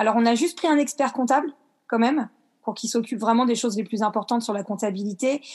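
A woman speaks at a very fast pace with ordinary pitch variation. The background is quiet. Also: fairly high pitch for a woman. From France, Le Havre (Normandy). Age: 30s. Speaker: dance teacher. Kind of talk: interview.

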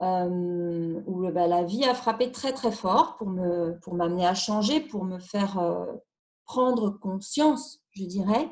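Somewhat breathy and very slow, a woman speaks with lively intonation. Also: medium pitch for a woman. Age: 40s. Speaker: single mother sharing personal story. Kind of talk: personal testimony interview. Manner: halting, hesitant with repetitions.

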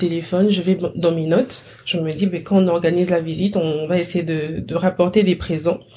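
With an unremarkable speaking voice, a woman talks at a moderate pace in a fairly low pitch, her intonation fairly even and hardly any pauses between words. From DR Congo. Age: 20s. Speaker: chemistry master's student. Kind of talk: interview conversation.

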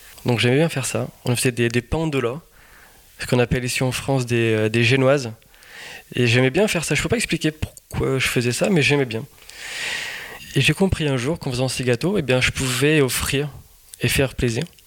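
Against noticeable background noise, a man of medium pitch talks fairly quickly with ordinary pitch variation and long, frequent pauses. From Portugal (Lisbon). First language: Portuguese (speaking French). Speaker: pastry chef. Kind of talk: interview.

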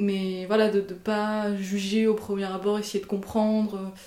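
The woman's delivery is monotone and flat. She speaks at a very slow pace. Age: 30s. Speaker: interviewee sharing her beliefs. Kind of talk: personal testimony. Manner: halting, many hesitations and repetitions.

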